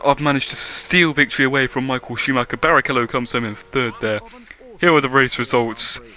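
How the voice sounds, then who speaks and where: Very rapid speech from a man at a medium pitch, set against noticeable background noise. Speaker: gaming YouTuber. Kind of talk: gameplay commentary. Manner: animated; fast.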